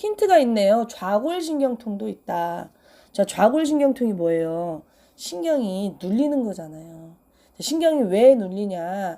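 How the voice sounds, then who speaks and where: Over a silent background in a very clean recording, a woman speaks very slowly at a medium pitch in a dark, mellow tone, with very wide pitch swings and big swings in loudness. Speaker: pharmacist health advice host. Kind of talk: health Q&A talk.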